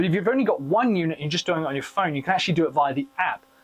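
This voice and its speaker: Noticeable background noise sits behind the speaker. A man talks at a high pitch. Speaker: tech product reviewer. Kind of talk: product review tutorial. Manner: loud.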